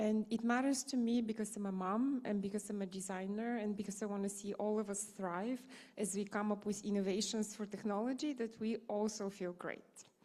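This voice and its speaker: A woman speaks with a Bulgarian accent at a fairly quick pace, her pitch fairly high and her tone dark and mellow. Her intonation stays fairly even. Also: hardly any pauses. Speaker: designer. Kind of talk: conference panel discussion.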